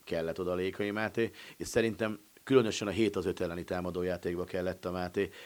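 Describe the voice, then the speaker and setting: A man talks with fairly even intonation at a very deep, low pitch. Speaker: sports journalist. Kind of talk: casual sports discussion.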